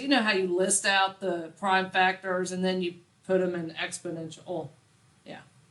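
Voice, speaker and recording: A woman speaks at a moderate pace and medium pitch with big swings in loudness, over noticeable background noise. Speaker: math teacher. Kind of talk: classroom lecture. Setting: classroom with students. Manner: clear, easily heard.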